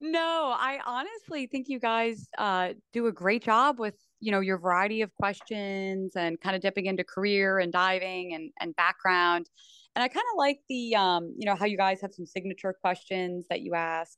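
Against a quiet background with a dry, close sound and no echo, a woman with an American accent speaks in a bright, sharp, medium-pitched voice with lively intonation. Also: moderate pace. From US Northeast (New Jersey). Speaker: sports broadcaster and former diver. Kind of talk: casual interview.

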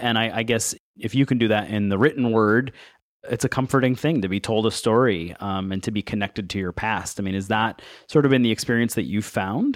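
A man with an American accent talks in a plain, everyday voice. His pace is fairly quick, with ordinary pitch variation. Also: medium pitch for a man, very clean recording, silent background. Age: 30s. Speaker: podcast host. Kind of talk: interview.

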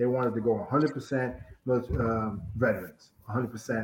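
A man speaks at a fairly quick pace in a medium pitch. He has an ordinary speaking voice. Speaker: college football head coach. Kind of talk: interview. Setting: video call.

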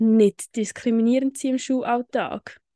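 Her pitch fairly high, a woman talks in a flat monotone, the sound dry and close with no echo against a quiet background. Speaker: podcast co-host. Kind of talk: casual chat.

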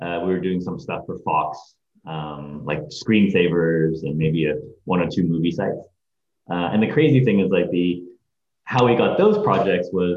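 Audible room echo surrounds a man with a very deep, low pitch. He speaks at a moderate pace with ordinary pitch variation. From Hong Kong, then California Bay Area. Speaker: agency CEO and creative director. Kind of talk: interview. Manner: hesitant, many fillers.

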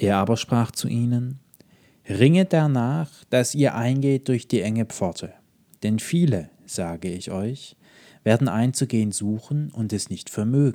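A man with a medium-pitched, dark, mellow voice speaks fairly slowly with lively intonation. The recording is very clean, with a silent background. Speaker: podcast preacher. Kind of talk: sermon. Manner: calm, measured, earnest.

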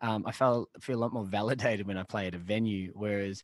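With an Australian accent, a man talks at a moderate pace in a fairly low pitch and fairly even intonation, on a very clean recording with a silent background and a dry, close sound with no echo. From Australia, Shepparton, Victoria. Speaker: pub band musician. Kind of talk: casual chat.

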